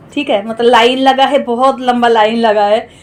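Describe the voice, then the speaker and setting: A woman's high voice with a Bengali accent and ordinary pitch variation, music playing in the background. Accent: Bengali-accented Hindi. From West Bengal, India (village). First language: Bengali (speaking Hindi). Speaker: cooking vlogger. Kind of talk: casual vlog chat.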